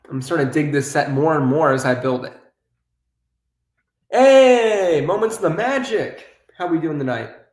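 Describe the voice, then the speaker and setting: A man speaks at a moderate pace and a fairly high pitch, with very wide pitch swings, long and frequent pauses, and audible room echo. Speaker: YouTuber, toy building streamer. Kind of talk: live-stream building chat.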